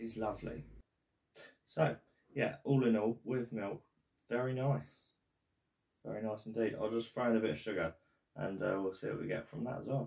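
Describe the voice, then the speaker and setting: Long, frequent pauses break up a man's speech. He keeps a moderate pace and ordinary pitch variation. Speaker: coffee reviewer. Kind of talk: casual vlog chat. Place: home room. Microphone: camera far.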